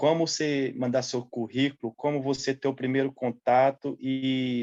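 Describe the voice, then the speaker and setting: In a monotone with flat intonation, a man speaks at medium pitch. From central Brazil (Goiás / Triângulo Mineiro). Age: 30s. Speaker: seasonal farm worker. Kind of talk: interview.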